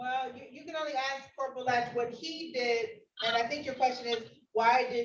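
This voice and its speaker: Her high voice is flat and monotone as the woman talks at a moderate pace amid audible room echo. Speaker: judge. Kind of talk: courtroom proceedings. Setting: virtual courtroom.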